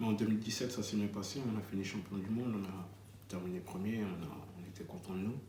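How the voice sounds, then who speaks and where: Speech at a fairly quick pace with fairly even intonation comes with audible room echo and noticeable background noise. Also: man. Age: 30s. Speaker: adapted-sport basketball player. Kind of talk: interview testimony. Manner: hesitant.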